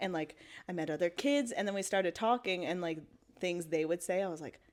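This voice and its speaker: In a Maritime Canadian accent, a woman speaks fairly quickly in a fairly low pitch with ordinary pitch variation. The recording is very clean, with a silent background. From Canada, Halifax, Nova Scotia. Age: 20s. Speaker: storyteller sharing a faith testimony. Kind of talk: testimony. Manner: casual, filler-heavy (like, um).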